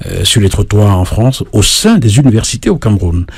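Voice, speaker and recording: A fairly low male voice comes through with noticeable background noise behind it. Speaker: singer-songwriter and journalist. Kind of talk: radio interview. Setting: radio studio. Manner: hesitant fillers.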